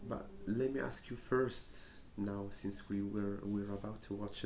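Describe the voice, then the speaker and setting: Fairly low male pitch with a dark, mellow tone, fairly even intonation and audible room echo. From Morocco. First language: Arabic. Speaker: English teacher. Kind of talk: teaching a class. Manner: hesitant, many fillers.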